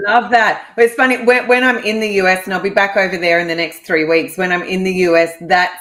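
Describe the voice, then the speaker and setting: With an Australian accent, a woman of medium pitch talks at a fairly quick pace with ordinary pitch variation over noticeable background noise. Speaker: real estate investor. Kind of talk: podcast interview.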